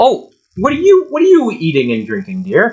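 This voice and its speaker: This put-on character voice sits at a fairly high pitch and keeps a moderate pace. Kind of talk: game role-play. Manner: inquisitive, fussy, friendly.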